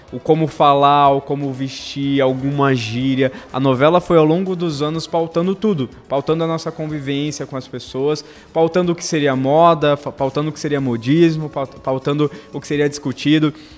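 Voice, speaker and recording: Over noticeable background noise, a man with a fairly high pitch talks at a moderate pace with hardly any pauses, fairly even intonation and big swings in loudness. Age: 30s. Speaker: television soap opera researcher. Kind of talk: casual chat. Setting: studio.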